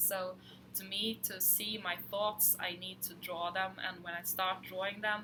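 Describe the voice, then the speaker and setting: Over noticeable background noise, the voice moves at a fairly slow pace with monotone, flat intonation. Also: woman, medium pitch for a woman. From Sweden. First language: Swedish. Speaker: fabric designer. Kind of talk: casual chat.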